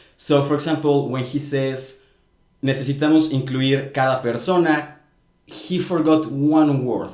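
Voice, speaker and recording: Speaking with a Spanish accent, a man with a fairly high pitch talks at a fairly slow pace in a monotone, flat delivery, with audible room echo around him. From Mexico. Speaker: language commentator, video creator. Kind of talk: commentary.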